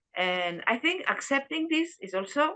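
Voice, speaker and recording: A woman speaks with a Spanish accent and lively intonation. Her tone is bright and sharp. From Spain. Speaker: dharma class participant. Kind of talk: group discussion. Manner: halting.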